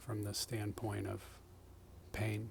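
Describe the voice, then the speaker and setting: A soft-spoken, somewhat breathy man with fairly low pitch at a very slow pace. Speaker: self-growth speaker. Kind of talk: ASMR soft-spoken reflection. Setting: outdoors.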